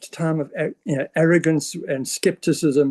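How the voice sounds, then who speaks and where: A man with a high pitch and a dark, mellow tone talks at a moderate pace, the sound dry and close with no echo. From South Africa. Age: 70s. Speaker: business presenter. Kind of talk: sales pitch. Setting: presentation to an audience.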